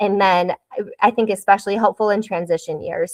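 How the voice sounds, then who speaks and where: A woman in an American accent with fairly even intonation. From US Midwest, Wisconsin. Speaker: school counselor. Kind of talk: presentation. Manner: fast.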